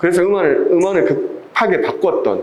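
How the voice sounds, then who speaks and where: A man speaks at a moderate pace with a Busan accent. Noticeable background noise and audible room echo fill the recording. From Busan, South Korea. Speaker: video production instructor. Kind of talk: lecture.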